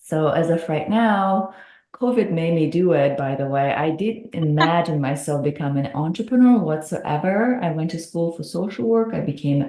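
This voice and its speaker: A woman with a Russian accent speaks at a fairly low pitch with lively intonation. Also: moderate pace. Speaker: hypnotherapist. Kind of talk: podcast interview.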